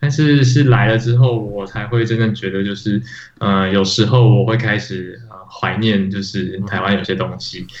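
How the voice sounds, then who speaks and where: Amid noticeable background noise and audible room echo, a man speaks in a fairly low voice with ordinary pitch variation. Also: moderate pace, big swings in loudness. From Taiwan. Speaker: podcast co-host, iOS developer. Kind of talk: casual chat.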